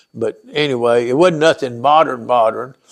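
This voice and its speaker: A man talks with a rural Tennessee accent and ordinary pitch variation. The recording is very clean, with a silent background. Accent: Southern US, Tennessee rural. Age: 70s. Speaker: veteran telling life story. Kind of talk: oral history interview. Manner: halting, repetitive.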